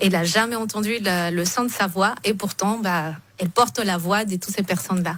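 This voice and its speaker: A woman with a non-native accent at medium pitch, with ordinary pitch variation and a moderate pace. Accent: foreign accent in French. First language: not French (speaking French). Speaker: event organizer. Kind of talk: radio interview.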